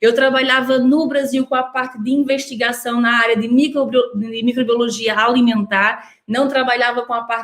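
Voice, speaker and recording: Over noticeable background noise, a woman with a high pitch speaks at a moderate pace in a flat monotone, with hardly any pauses. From northeast Brazil. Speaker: nutritionist. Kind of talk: online workshop talk. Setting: online video workshop.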